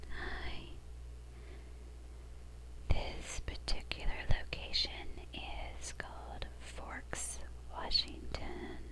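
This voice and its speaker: A soft-spoken woman whispers at a very slow pace with long, frequent pauses over noticeable background noise. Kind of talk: casual talk to camera. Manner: whispered, soft-spoken.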